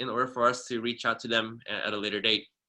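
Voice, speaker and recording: Over a quiet background, a man speaks with a bright, sharp tone. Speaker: subsection officer giving a training. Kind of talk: webinar tutorial. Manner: fast; hesitant, many fillers.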